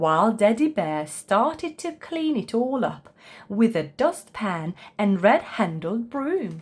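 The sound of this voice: Speaking slowly at a medium pitch, a woman lets her voice make big swings, with a slightly husky edge.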